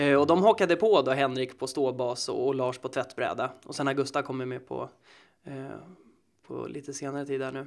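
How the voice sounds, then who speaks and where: A man speaks at a moderate pace with vocal fry and a fairly high pitch. His loudness swings widely, on a very clean recording with a silent background. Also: ordinary pitch variation. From Sweden, Södertälje. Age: 20s. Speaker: actor and musician. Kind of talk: casual interview.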